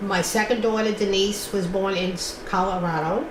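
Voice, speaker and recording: Spoken with a New York accent and fairly even intonation, the voice carries audible room echo over noticeable background noise. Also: woman. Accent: New York City. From New York City (Brooklyn). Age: 70s. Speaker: oral history interviewee. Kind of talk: oral history interview.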